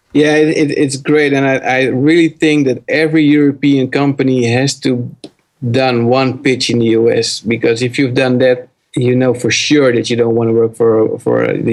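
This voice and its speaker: Speaking at a moderate pace with a Dutch accent, a man keeps a medium pitch, fairly even intonation and very even loudness. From Netherlands. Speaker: startup founder. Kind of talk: interview.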